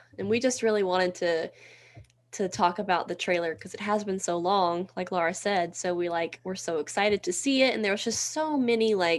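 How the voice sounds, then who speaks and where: With a Southern US accent, a woman talks at a medium pitch and a fairly quick pace. Her pitch varies in an ordinary way over a quiet background. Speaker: podcast co-host. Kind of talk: casual chat.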